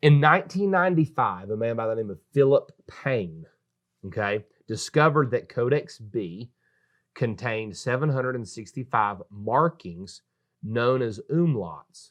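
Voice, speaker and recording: Over a quiet background, a man with a North Carolina accent speaks fairly slowly at a medium pitch, his tone animated and his intonation lively. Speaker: pastor. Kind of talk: casual religious discussion. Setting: studio.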